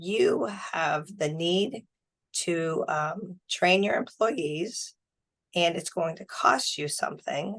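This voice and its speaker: Speaking at a very slow pace, a woman has a fairly low pitch. Her pitch variation is ordinary. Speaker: small business center staff introducing webinar. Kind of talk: webinar presentation. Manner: hesitant, many fillers.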